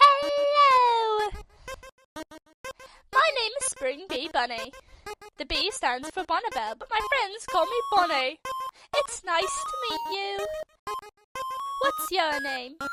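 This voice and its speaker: Over loud music in the background, a put-on character voice at an extremely high pitch makes very wide pitch swings at a fairly slow pace, with long, frequent pauses. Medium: dub. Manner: cheerful, chatty.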